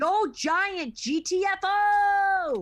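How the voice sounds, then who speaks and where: Someone speaks in a put-on character voice with an extremely high pitch. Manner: intimidating.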